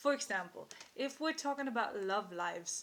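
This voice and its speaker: In a non-native accent, a woman speaks with a bright, sharp tone and lively intonation. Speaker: intuitive card reader. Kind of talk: tarot-style card reading monologue. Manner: halting, with frequent fillers.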